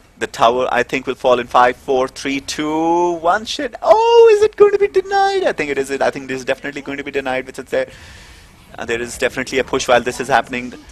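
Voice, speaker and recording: Very fast speech from a man, dry, close sound with no echo, noticeable background noise. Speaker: esports commentator. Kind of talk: live commentary. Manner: animated.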